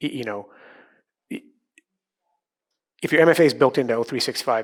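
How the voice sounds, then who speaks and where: A man with a medium pitch talks at a very fast pace, with ordinary pitch variation. His loudness swings widely, and he takes long, frequent pauses. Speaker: conference speaker, systems engineer. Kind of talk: conference talk. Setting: stage with audience. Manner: casual, filler-heavy.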